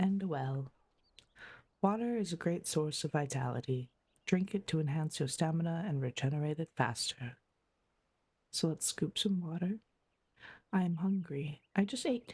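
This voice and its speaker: Soft-spoken and at a moderate pace, the voice comes with long, frequent pauses on a very clean recording with a silent background. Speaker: streamer. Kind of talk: sleep gameplay commentary.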